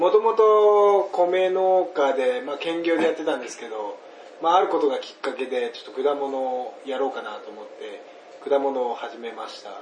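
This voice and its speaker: A high-pitched man speaks with very wide pitch swings and big swings in loudness, with audible room echo and noticeable background noise. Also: moderate pace. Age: young. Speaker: fruit farmer. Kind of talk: casual chat.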